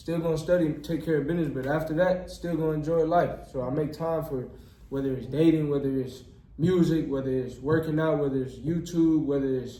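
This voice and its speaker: Room echo is audible as the speaker talks in an American accent. The intonation is monotone and flat. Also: man, fairly high pitch for a man, fairly quick pace. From Texas, near Houston. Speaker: medical student and YouTuber. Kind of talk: casual interview chat. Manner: many filler words.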